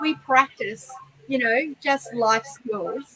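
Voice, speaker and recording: A woman with an Australian accent at a fairly slow pace, over noticeable background noise. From Queensland, Australia (Noosa Shire). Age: 50s. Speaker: horse trainer. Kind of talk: interview.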